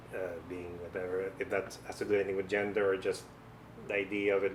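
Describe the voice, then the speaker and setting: A somewhat breathy man talks at a fairly quick pace. His voice has a fairly low pitch. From Philippines, Negros. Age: 40s. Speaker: filmmaker and film professor. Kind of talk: documentary interview. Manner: hesitant, with fillers and repetitions.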